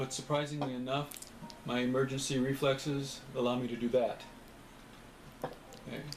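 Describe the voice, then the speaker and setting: Against noticeable background noise, a man speaks at a medium pitch in a monotone, flat way at a moderate pace with long, frequent pauses. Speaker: person with Parkinson's, small business founder. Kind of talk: personal appeal to camera. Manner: halting, hesitant.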